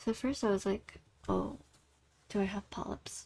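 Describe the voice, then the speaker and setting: Soft-spoken and with vocal fry, a woman talks at a moderate pace and medium pitch, her intonation fairly even. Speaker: vlogger and singer. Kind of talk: casual chat. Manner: relaxed, flowing.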